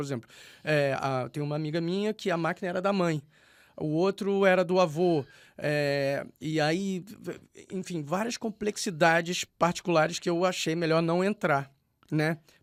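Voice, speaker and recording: A man speaks with a high pitch and ordinary pitch variation, in a dry, close sound with no echo. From Rio de Janeiro, Brazil. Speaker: poet. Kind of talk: radio interview. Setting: radio studio. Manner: halting, many repetitions and fillers.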